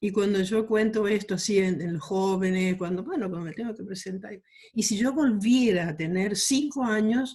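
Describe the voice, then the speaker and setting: A woman speaks at a moderate pace in a medium-pitched, somewhat breathy voice. Her pitch varies in an ordinary way. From Argentina, Chaco (rural Quitilipi). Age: 70s. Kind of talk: interview.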